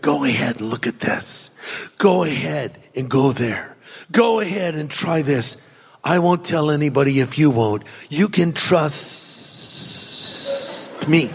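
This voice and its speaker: A man's put-on character voice, fairly high-pitched, at a fairly slow pace with a hissing sound. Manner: whispering, sly, reassuring.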